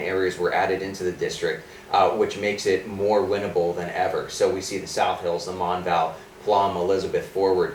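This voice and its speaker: There is noticeable background noise and audible room echo as a man with an American accent speaks at a fairly quick pace. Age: 20s. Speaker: political candidate. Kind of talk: interview. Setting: studio.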